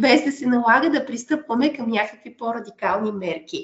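A woman with a normal speaking voice and fairly high pitch talks at a moderate pace. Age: 30s. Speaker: biologist, conservation project manager. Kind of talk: interview.

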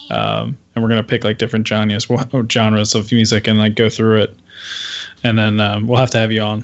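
Fairly quick and at medium pitch, a man talks with vocal fry. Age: 30s. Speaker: podcast co-host. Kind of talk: casual chat.

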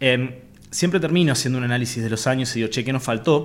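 This man talks at a very fast pace in a medium pitch. His pitch varies in an ordinary way. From Argentina, Avellaneda, Santa Fe. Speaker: real estate entrepreneur. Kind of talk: interview conversation. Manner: halting, with many fillers.

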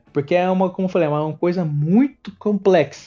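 Speaking in a São Paulo accent, a man uses a dark, mellow tone with ordinary pitch variation. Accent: São Paulo Brazilian Portuguese. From Brazil, São Paulo ABC region (Ribeirão Pires). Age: 20s. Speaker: professional wrestler. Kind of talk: interview. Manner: casual with filler words.

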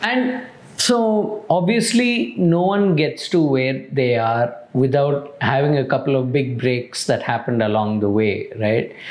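Noticeable background noise sits behind a man talking at a fairly slow pace. He barely pauses, and his pitch swings very widely. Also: very even loudness. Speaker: podcast host. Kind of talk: interview conversation.

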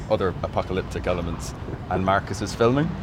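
A man with a Cork accent at a fairly quick pace, amid noticeable background noise. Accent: Cork Irish. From south of Ireland, near Cork. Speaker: head of social media. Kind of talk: casual chat.

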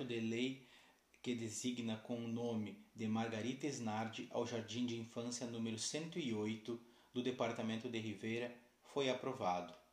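A man speaks at a fairly slow pace with fairly even intonation. Audible room echo surrounds his voice. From southern Brazil, Uruguayan border (Santana do Livramento). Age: 30s. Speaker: university student. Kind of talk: scripted narration. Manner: formal.

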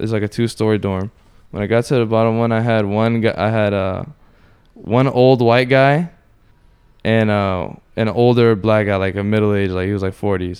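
A man with a plain, everyday voice and an American accent, fairly low in pitch, at a moderate pace with fairly even intonation, against a quiet background. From Orlando, Florida. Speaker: martial arts student and former inmate. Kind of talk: casual chat.

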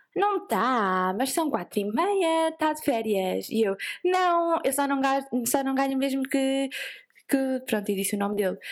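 A woman's high-pitched voice, with very wide pitch swings, at a fairly slow pace in a very clean recording with a silent background. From Portugal, Vieira (coastal). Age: 20s. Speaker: productivity entrepreneur, co-founder. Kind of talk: casual interview chat. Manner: animated.

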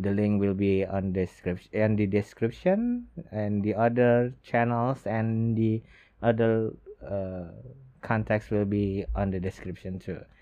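The speech moves at a fairly slow pace. It comes with an Indonesian accent. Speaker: podcast host. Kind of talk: solo podcast talk. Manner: halting.

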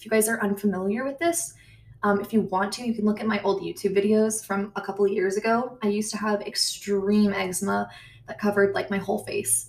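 A woman talks at medium pitch with an American accent. Vocal fry runs through her voice.

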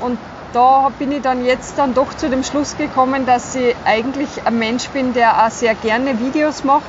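A woman talks at a moderate pace with a high pitch and fairly even intonation. Background noise is noticeable. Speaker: health educator. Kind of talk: casual chat. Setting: outdoors by a river.

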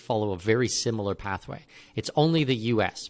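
At a moderate pace and medium pitch, a man with a plain, everyday voice speaks with lively intonation in a very clean recording with a silent background. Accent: Canadian. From Canada. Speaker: expat consultant. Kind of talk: interview.

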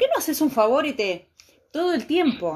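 The intonation is lively as a woman talks. She keeps a moderate pace. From Argentina. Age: 50s. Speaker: podcast host. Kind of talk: casual chat. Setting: live stream.

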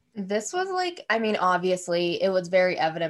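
A woman with an ordinary speaking voice, medium pitch and lively intonation. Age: 20s. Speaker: podcast co-host. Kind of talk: casual chat.

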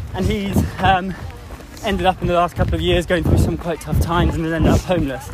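This man races through his words at a very fast pace. Behind him sits noticeable background noise. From England. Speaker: amateur endurance runner and charity fundraiser. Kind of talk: casual interview while jogging. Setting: outdoors in a park. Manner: hesitant, many fillers.

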